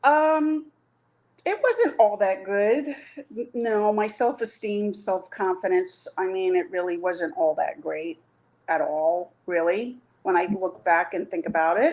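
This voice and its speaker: Very slow in pace, a woman speaks at a medium pitch with lively intonation. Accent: American. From New York. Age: 50s. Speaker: coaching client. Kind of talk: interview answer.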